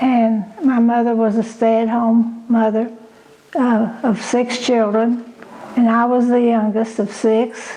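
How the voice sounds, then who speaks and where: Amid noticeable background noise and audible room echo, a woman speaks with an Arkansas accent at a very slow pace. Her fairly high voice has a monotone, flat intonation. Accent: Southern US (Arkansas). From US South, Cane Hill, Arkansas. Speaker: oral history interviewee. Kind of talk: oral history interview.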